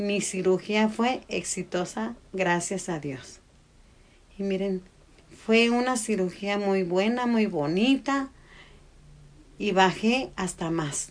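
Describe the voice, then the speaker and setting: At a medium pitch, a woman speaks at a very slow pace with ordinary pitch variation. She leaves long, frequent pauses. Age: 60s. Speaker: podcast co-host, mother. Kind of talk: casual chat.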